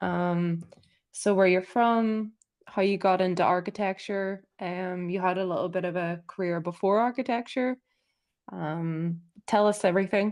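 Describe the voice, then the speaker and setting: A woman's medium-pitched voice, an ordinary speaking voice, with fairly even intonation at a moderate pace against a quiet background. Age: 30s. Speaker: podcast co-host. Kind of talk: casual chat. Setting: live stream.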